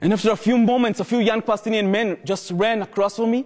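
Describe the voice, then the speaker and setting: A man's high voice with an Israeli accent at a moderate pace. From Jerusalem, Israel. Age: 20s. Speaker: former Israeli combat soldier, activist. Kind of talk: public talk to an audience.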